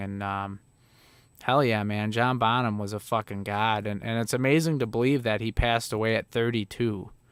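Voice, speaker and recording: On a very clean recording with a silent background, a man speaks with a slight Chicago accent. His pitch is fairly low, his intonation fairly even, and his pace moderate. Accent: Chicago Midwestern, slight. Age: 30s. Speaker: livestreamer, former touring musician. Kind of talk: casual livestream chat. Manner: casual, filler-heavy.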